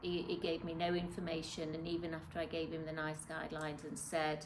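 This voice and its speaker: A woman speaks in a very deep, low pitch with flat, monotone intonation, and noticeable background noise is present. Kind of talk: interview answer. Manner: hesitant, conversational.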